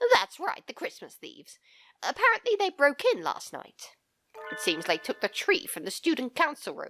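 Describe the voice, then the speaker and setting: A woman puts on a character voice. She speaks at a moderate pace. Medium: solo performance. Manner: sleepy, halting.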